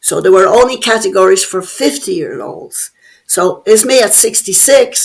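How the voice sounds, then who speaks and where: In an Irish accent, a woman speaks at a moderate pace with a high pitch and very wide pitch swings. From Ireland (Dublin). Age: 70s. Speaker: bodybuilder. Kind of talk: interview.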